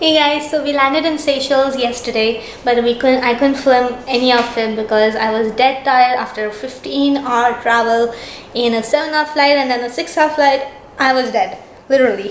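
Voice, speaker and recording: A woman speaks at a moderate pace with a high pitch and fairly even intonation, with audible room echo and light background noise. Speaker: travel vlogger. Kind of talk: casual vlog chat. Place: home room. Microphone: phone near.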